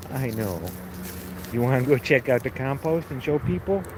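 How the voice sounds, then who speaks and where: A man with a Chicago accent at a moderate pace, noticeable background noise behind him. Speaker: home gardener livestreamer. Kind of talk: casual livestream chat. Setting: outdoors in garden. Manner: casual, conversational.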